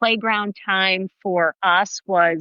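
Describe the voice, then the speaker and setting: A woman speaks in a plain, everyday voice at a medium pitch, her intonation fairly even. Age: 60s. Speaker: running coach and podcast host. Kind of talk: casual interview.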